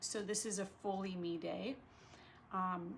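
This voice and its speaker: A woman's medium-pitched, somewhat breathy voice carries fairly even intonation. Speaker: vlogger. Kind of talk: casual vlog monologue. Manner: slow with pauses; hesitant, many fillers.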